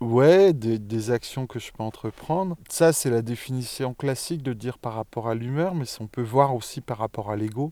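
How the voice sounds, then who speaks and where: Here a man has a dark, mellow tone and ordinary pitch variation, at a moderate pace. The recording is very clean, with a silent background. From Franche-Comté, France. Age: 40s. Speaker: former teacher living with bipolar disorder. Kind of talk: interview, personal testimony. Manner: hesitant, with frequent fillers and repetitions.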